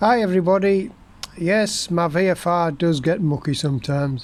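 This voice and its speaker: With an English accent, a man speaks at a high pitch with ordinary pitch variation. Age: 60s. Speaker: motorcycle vlogger. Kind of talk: casual video monologue. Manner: informal, hesitant with fillers.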